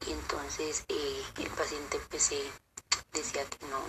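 Noticeable background noise is present. A woman talks over it. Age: 20s. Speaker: nurse. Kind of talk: interview testimony. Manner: halting.

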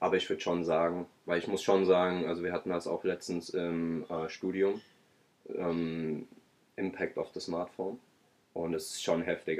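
Fairly even in intonation, a man's very deep, low voice moves at a moderate speed. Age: 20s. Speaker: podcast co-host. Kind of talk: casual chat.

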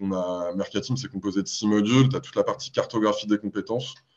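Over a quiet background, an ordinary speaking voice talks at a fairly quick pace. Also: man. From Paris, France. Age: 30s. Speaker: startup marketing executive. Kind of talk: podcast interview.

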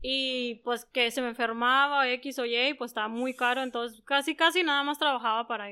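High-pitched with a bright, sharp tone, a woman speaks with fairly even intonation. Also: moderate pace, hardly any pauses. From northwestern Mexico, San Luis Río Colorado (Sonora). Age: 30s. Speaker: beauty business owner. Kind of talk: interview.

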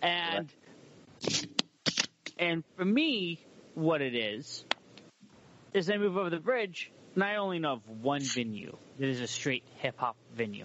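Speaking with an American accent, a man takes a fairly slow pace and leaves long, frequent pauses. His fairly high voice swings very widely in pitch. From Humboldt County, California. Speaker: podcast and radio host. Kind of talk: casual interview chat.

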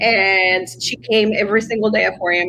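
A woman talks at a moderate pace, her pitch medium and its variation ordinary, with noticeable background noise behind her. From Mexico (Coahuila). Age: 40s. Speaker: shaman and botanica shop owner. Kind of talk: interview on a live stream. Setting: live stream video call.

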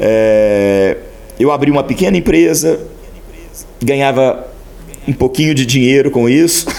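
A man with a fairly high pitch speaks at a fairly slow pace with lively intonation, very even loudness and long, frequent pauses, against noticeable background noise. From Brazil, Minas Gerais (small town near Passos). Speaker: senior pastor. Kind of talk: interview, personal testimony.

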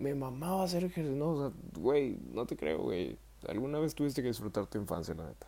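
With a Mexican accent, a man speaks fairly quickly in a dark, mellow voice of medium pitch. His pitch swings very widely. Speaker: podcaster. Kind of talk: casual solo monologue. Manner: casual, slangy with fillers.

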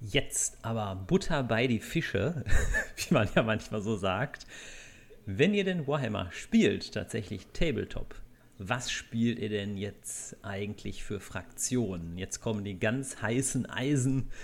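A man talks very slowly yet keeps his intonation lively. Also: medium pitch for a man. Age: 30s. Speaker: podcast host and blogger. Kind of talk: casual chat.

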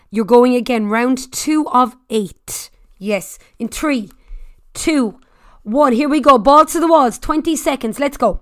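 Delivered at a fairly slow pace in an Irish accent, the voice has an energetic tone and ordinary pitch variation. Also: woman. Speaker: fitness instructor. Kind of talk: high-intensity Tabata interval coaching with shouted countdowns. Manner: loud, cheerleading, profane and energetic.

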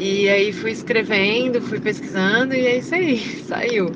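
In a room with audible echo and noticeable background noise, a woman speaks at a fairly slow pace with ordinary pitch variation. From Florianópolis, Santa Catarina, Brazil. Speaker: singer. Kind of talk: interview. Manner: hesitant, many fillers.

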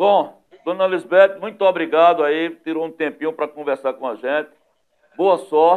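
A man with a high pitch, at a moderate pace. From Northeast Brazil, Pernambuco sertão. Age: 50s. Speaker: web TV news host. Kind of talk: talk show interview. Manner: animated.

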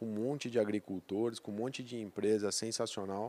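In a very clean recording with a silent background, a man of medium pitch speaks with a dark, mellow tone and fairly even intonation. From Brazil, south of Minas Gerais. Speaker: agribusiness sales director. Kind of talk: interview. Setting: company headquarters.

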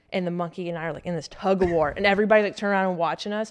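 A woman with a Southern US accent talks at a very fast pace and a medium pitch. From US South. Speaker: Marine Corps officer. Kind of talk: casual chat. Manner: animated.

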